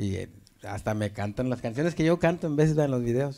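Against a quiet background, a man talks at a medium pitch with lively intonation and a dark, mellow tone. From Apodaca, Nuevo León, Mexico; Nuevo León, Mexico. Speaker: viral video comedian. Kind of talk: casual chat. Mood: relaxed, amused storytelling. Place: studio. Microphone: handheld.

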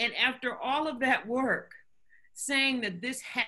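A woman speaks at a fairly slow pace in a bright, sharp tone. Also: quiet background. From US South, North Carolina. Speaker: physician and health foundation director. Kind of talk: interview. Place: home room. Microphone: webcam.

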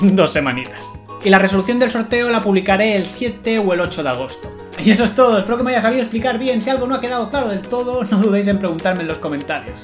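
Clear music plays behind a man who talks very fast. His voice sits high, with ordinary pitch variation. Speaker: vlogger. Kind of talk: casual talk to camera. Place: home room.

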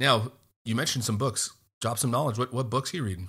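A man speaks in a bright, sharp tone with ordinary pitch variation. The recording is very clean, and the background is silent. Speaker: podcast host. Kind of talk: casual interview.

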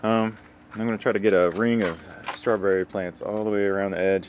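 Under light background noise, a man speaks in a monotone, flat intonation with a dry sound and no echo. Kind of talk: casual vlog chat. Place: garden. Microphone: phone near.

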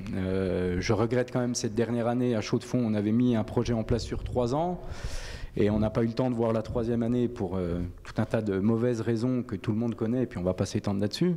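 Ordinary pitch variation runs through this man's speech. His pitch sits in the medium range. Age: 30s. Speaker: football coach. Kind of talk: radio interview. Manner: halting. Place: studio. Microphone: handheld.

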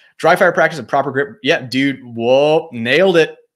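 A man's intonation is lively, and the background around him is quiet. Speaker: gun YouTuber; gun channel host. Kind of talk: live stream chat answering comments. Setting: live stream. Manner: fast. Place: home room.

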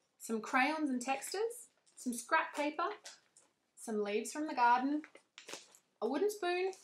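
With light background noise, a woman talks in a high pitch with very wide pitch swings. She leaves long, frequent pauses. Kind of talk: tutorial. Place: home room.

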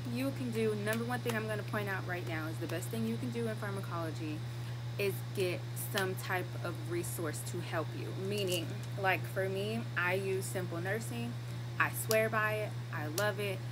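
Loud background noise runs under a woman speaking at a moderate pace. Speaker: nursing student vlogger. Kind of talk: casual vlog chat. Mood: upbeat, reassuring, playful. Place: street. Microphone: phone near.

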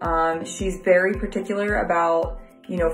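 The speech comes at a moderate pace, with audible room echo and faint music in the background. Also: woman. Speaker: client giving a review. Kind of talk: testimonial, casual talk to camera. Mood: positive, grateful. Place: home room. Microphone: phone near.

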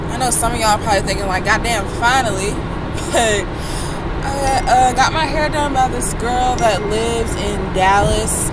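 Amid loud background noise, a woman speaks at a fairly slow pace in a dry sound with no echo. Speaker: vlogger. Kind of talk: casual vlog talk to camera. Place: car. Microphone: phone near.

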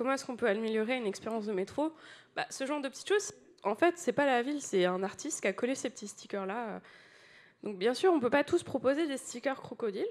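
Talking at a very fast pace, a woman uses lively intonation and a high pitch. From France. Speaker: UX designer, conference speaker; conference speaker. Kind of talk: conference talk. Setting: stage with audience. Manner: animated. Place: hall.

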